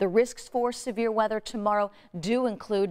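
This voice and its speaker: A woman speaks with an American accent at a moderate pace. The background is quiet. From US Midwest. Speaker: TV meteorologist. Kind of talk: TV weather forecast, explaining maps and a storm timeline to viewers. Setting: TV studio. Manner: clear, steady broadcast delivery, brisk and informative; friendly and reassuring, caring advice to viewers. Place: studio.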